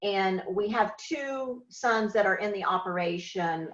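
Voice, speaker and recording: A woman with an American accent, fairly slow pace and ordinary pitch variation. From Oklahoma. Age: 60s. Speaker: farmer. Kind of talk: interview testimony. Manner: halting.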